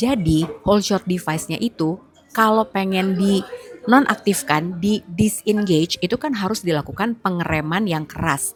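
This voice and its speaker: Soft-spoken, a woman talks at a moderate pace with a fairly low pitch and ordinary pitch variation over noticeable background noise. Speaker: motorsport podcast host. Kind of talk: solo commentary review. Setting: outdoors in a public place. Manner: soft-spoken, lower voice; casual, chatty.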